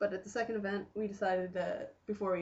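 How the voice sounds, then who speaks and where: With a very fast pace and a monotone, flat intonation, a woman speaks in an American accent that is somewhat breathy. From Western New York. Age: 20s. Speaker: recent graduate, youth worker. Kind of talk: casual video self-introduction. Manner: casual, joking.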